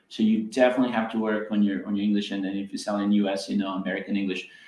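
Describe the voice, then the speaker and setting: Speaking very fast with a slight Serbian accent, a man with a fairly low voice is heard over noticeable background noise. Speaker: business event host. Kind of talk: panel discussion. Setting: live stream.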